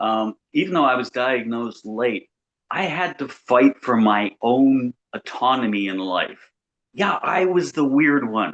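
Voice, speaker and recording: The speaker has an unremarkable speaking voice with lively intonation. The pace is fairly slow. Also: man. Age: 60s. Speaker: FASD advocate. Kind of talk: casual chat.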